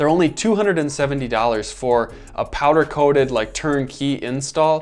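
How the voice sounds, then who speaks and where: With music in the background, a man with an American accent speaks at a fairly quick pace. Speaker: overlanding gear YouTuber. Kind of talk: product roundup video. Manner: fast; casual, filler-heavy.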